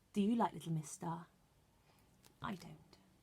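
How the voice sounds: At a fairly slow pace, a woman speaks at a fairly low pitch in a dark, mellow tone with a husky, rough edge, vocal fry and ordinary pitch variation.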